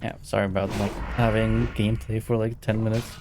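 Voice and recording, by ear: A man with a fairly low pitch and slightly mellow tone speaks with little pitch movement. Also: fairly quick pace.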